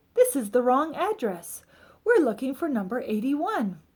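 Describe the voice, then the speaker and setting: A woman uses a put-on character voice, raised and projected, at a moderate pace. Her pitch is high and swings very widely. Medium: read story.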